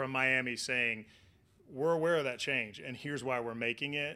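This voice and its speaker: Speaking with a Southern Plains accent, a man with a medium pitch and a bright, sharp tone keeps a moderate pace and ordinary pitch variation in a very clean recording with a silent background. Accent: Southern Plains American. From Oklahoma, US. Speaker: meteorologist, former TV weatherman. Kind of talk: interview.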